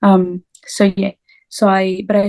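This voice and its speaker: A woman with a French accent, medium in pitch, with a dark, mellow tone and a dry, close sound with no echo. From France. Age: 20s. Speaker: language teacher. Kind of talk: interview. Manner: halting.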